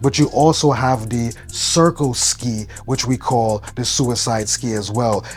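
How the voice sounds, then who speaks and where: A man speaks at a medium pitch in a Brooklyn accent, with ordinary pitch variation. He hardly pauses, and noticeable background noise runs underneath. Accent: New York (Brooklyn). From New York (Brooklyn). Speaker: fashion vlogger. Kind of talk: casual vlog commentary.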